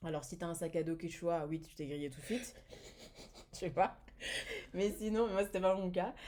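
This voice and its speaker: With lively intonation, a woman speaks in a dark, mellow tone at a fairly low pitch. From France. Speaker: entrepreneur, business manager. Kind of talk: podcast interview. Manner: hesitant, many fillers.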